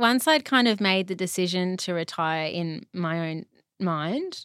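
A woman with an Australian accent speaks at a medium pitch with ordinary pitch variation, in a very clean, dry, close recording with no echo and a silent background. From Brisbane, Australia. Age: 30s. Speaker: retired ballet dancer. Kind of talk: interview conversation.

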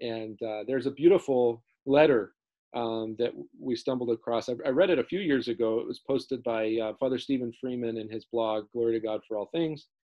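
A man's unremarkable speaking voice at medium pitch, moderate pace and ordinary pitch variation. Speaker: priest podcaster. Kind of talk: casual chat. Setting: video podcast. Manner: laughs often, casual.

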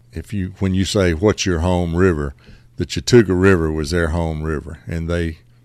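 A man speaks with a Southern US accent in a very deep, low pitch. His intonation is fairly even and his pace moderate. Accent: Southern US (Georgia). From Middle Georgia, US South. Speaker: fly shop owner and fishing guide. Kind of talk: casual interview. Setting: upstairs in a fly shop.

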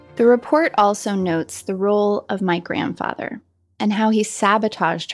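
In an American accent, a woman speaks at medium pitch and a moderate pace with ordinary pitch variation. She has an ordinary speaking voice, and the recording is very clean with a silent background. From Colorado. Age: 40s. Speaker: writer. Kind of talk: scripted narration.

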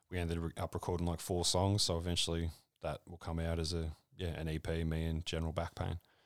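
A man's very deep, low voice with an Australian accent, very fast and monotone, in a dry, close sound with no echo and a very clean recording with a silent background. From rural Victoria, Australia (South Gippsland). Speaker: comedian and hip hop artist. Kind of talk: casual chat.

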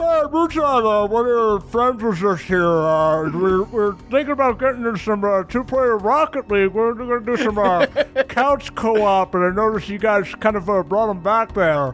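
Someone speaks in a put-on character voice at a fairly high pitch and moderate pace. Clear background noise is present. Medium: actual play. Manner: laid-back, rambling.

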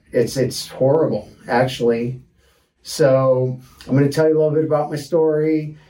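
Through audible room echo, a man with an American accent speaks at a moderate pace in a fairly high pitch and a dark, mellow tone, keeping his intonation fairly even and his loudness very even. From Detroit, Michigan, US. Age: 40s. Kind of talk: casual personal storytelling monologue.

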